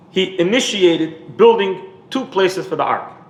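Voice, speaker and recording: A man's high-pitched voice with lively intonation, audible room echo and noticeable background noise. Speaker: rabbi. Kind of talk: lecture. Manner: repetitive, halting.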